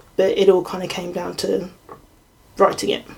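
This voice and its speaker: Amid noticeable background noise, a woman speaks in a monotone, with flat intonation. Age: 20s. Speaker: computer science student. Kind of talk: casual interview. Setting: home bedroom recording.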